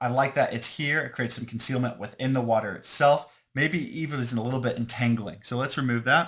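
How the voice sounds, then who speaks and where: This man talks at a very fast pace in a medium pitch, his intonation fairly even. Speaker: tabletop game designer demonstrating product. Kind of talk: tutorial. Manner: casual, thinking aloud.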